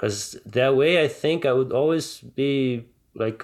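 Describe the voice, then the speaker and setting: Against a quiet background, a man with a Portuguese accent speaks with fairly even intonation. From Brazil, Rio de Janeiro. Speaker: ophthalmologist and martial arts coach. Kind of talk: interview. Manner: halting, many fillers and repetitions.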